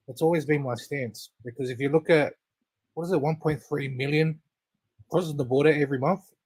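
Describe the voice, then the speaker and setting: Somewhat breathy and fairly high-pitched, a man with an Australian accent speaks at a fairly quick pace with fairly even intonation and long, frequent pauses. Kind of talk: casual chat.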